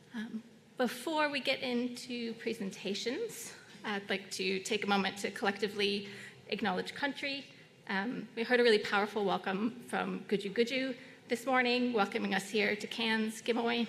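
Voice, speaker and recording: The woman's fairly high voice keeps to a moderate speed. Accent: American. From United States. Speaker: session chair. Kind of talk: conference moderation. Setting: conference room with audience. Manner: hesitant, many fillers.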